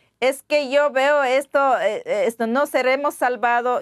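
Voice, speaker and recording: Against a quiet background, a woman with a high voice talks at a fairly slow pace with fairly even intonation. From Ecuadorian Amazon, Pastaza. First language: Waorani (speaking Spanish). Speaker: interview guest. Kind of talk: interview. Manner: halting, with hesitations and repetitions. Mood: earnest, concerned.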